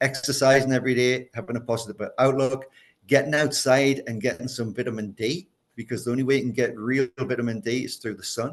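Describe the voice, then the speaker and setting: A man with an unremarkable speaking voice speaks at a medium pitch and a fairly quick pace, his intonation fairly even. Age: 60s. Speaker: chef and culinary educator. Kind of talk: casual chat.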